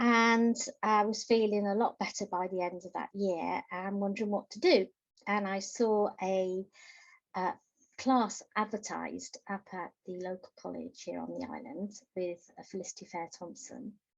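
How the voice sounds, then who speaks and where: A woman with an ordinary speaking voice and medium pitch speaks at a moderate pace against a quiet background. Her loudness swings widely. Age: 60s. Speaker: novelist. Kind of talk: interview.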